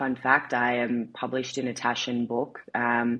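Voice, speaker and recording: With an Australian accent, a woman speaks at a moderate pace in a very deep, low voice with a bright, sharp tone and monotone, flat intonation. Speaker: marketing executive. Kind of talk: interview.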